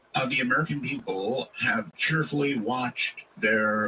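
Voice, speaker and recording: A man with lively intonation at a moderate pace, with noticeable background noise. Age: 70s. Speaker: talk radio host. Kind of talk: radio interview.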